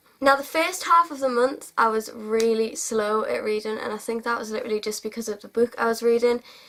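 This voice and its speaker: Over noticeable background noise, a woman with a fairly high voice speaks at a fairly quick pace, hardly pausing, with ordinary pitch variation and big swings in loudness. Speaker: book vlogger. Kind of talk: casual monologue to camera.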